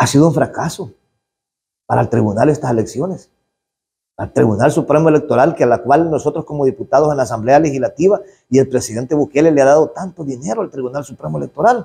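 With a Salvadoran accent, this man talks at a fairly quick pace in a fairly high pitch, his tone dark and mellow, somewhat breathy, with ordinary pitch variation. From El Salvador, rural area. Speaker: politician, legislator. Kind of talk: interview statement to press. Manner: outspoken, forceful; halting, with repetitions. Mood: critical, indignant. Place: hall. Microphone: handheld.

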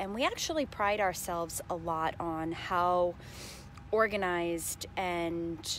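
A woman speaks at a very slow pace with a fairly low pitch. The sound is dry with no echo, over light background noise. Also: fairly even intonation. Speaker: vlogger. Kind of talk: casual vlog chat. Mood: reflective, a bit low. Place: open country. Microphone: earbuds.

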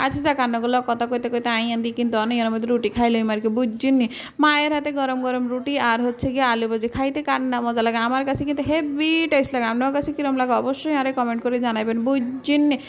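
An animated tone at very even loudness, over noticeable background noise. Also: woman, high pitch for a woman. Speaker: lifestyle vlogger. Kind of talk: casual vlog narration.

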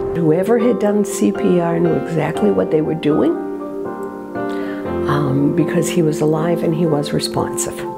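Over loud music in the background, a woman talks at a moderate pace with long, frequent pauses. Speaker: patient's wife. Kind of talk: interview answer. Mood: recounting a shocking event. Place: home room.

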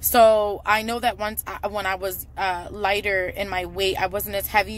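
A woman speaks at a moderate pace in a flat monotone. The sound is dry, with no echo. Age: 30s. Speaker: fitness vlogger. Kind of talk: casual vlog monologue. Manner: frequent filler words. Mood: candid, self-reflective. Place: car. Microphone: phone near.

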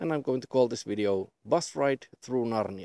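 Against a quiet background, a man talks at a moderate pace in a dark, mellow tone with a dry sound and no echo. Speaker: vlogger. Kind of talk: casual vlog chat. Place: open country.

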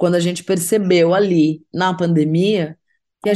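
With a dark, mellow tone, a woman speaks in a monotone, flat intonation. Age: 40s. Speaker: singer-songwriter. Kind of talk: interview. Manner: hesitant, filler-heavy.

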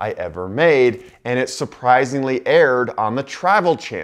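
Male voice, quiet backdrop. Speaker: travel vlogger. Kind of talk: casual vlog intro to camera. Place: office. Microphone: lapel.

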